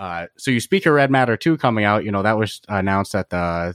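A man with an American accent talks at a fairly quick pace and fairly low pitch with ordinary pitch variation in an ordinary speaking voice, on a very clean recording with a silent background and dry, close sound with no echo. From US East Coast. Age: 20s. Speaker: podcast host. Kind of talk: casual interview.

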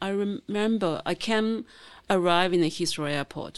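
Over a quiet background, a woman with a Chinese accent speaks with lively intonation. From China, rural Zhejiang coast. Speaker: novelist and filmmaker. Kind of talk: interview. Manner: halting.

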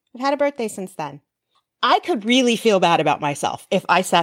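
Dry and close with no echo, a woman's unremarkable speaking voice moves at a fairly quick pace with lively intonation. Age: 40s. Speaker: podcast host. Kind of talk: solo podcast monologue. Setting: recorded in an online group session.

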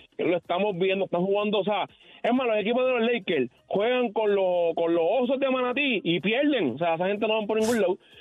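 A man speaks at a high pitch with ordinary pitch variation. His loudness stays very even. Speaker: caller. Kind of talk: casual sports chat. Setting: phone call.

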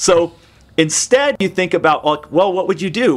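Using lively intonation, a man with an American accent speaks at a moderate pace in an unremarkable speaking voice. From US Pacific Northwest, Seattle area. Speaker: software company CEO. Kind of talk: interview. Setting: video call.

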